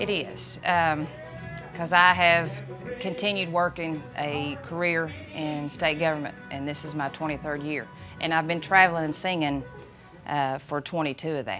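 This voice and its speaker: Over clear background music, a woman with an Eastern Kentucky accent talks at a moderate pace in a very deep, low pitch with fairly even intonation. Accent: Eastern Kentucky Appalachian. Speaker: bluegrass singer and bass player. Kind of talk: interview answer. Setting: outdoors. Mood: warm, proud.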